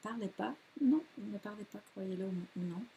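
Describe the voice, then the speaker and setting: Speaking fairly slowly, a woman sounds somewhat breathy. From Quebec. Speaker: yoga teacher. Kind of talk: course presentation. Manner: enthusiastic; hesitant, many fillers.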